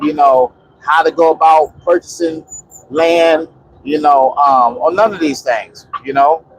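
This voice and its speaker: With fairly even intonation and a fairly high pitch, a man speaks against noticeable background noise. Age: 50s. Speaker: off-grid homesteader vlogger. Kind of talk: casual monologue vlog. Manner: rambling with many fillers.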